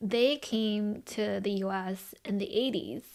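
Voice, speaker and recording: Here a woman talks at a very slow pace with a Californian accent. Her pitch sits in the medium range. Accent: American, Californian. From Los Angeles, US (early childhood in China). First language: Chinese. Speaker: podcast co-host and brand founder. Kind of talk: casual podcast conversation.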